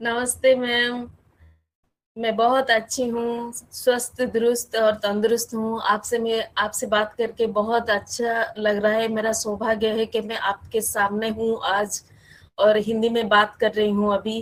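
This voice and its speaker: A woman's fairly high voice with an Odia accent and monotone, flat intonation. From Odisha, India. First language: Odia (speaking Hindi). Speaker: guest sharing experiences. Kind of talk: interview chat.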